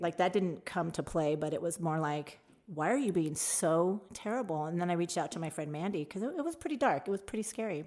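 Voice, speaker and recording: A woman with an American accent and a normal speaking voice talks at a fairly quick pace with hardly any pauses. Her pitch is fairly low and her intonation lively. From Tucson, Arizona. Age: 50s. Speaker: bartender. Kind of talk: casual interview chat.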